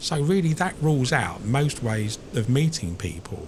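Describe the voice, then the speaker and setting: A man's fairly high-pitched voice moves through very wide pitch swings. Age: 50s. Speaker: vlogger. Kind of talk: casual personal vlog monologue. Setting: outdoors on the beach. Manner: halting.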